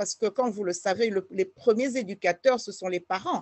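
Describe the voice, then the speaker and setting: Her voice sits fairly high. The rise and fall of her pitch is ordinary. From Congo (DRC). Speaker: politician. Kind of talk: interview. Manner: hesitant with fillers.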